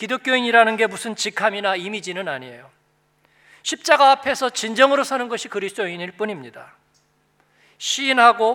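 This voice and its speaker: A man's raised, projected voice, high-pitched with a bright, sharp tone, lively intonation, and a moderate pace. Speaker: pastor. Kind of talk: sermon. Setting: church.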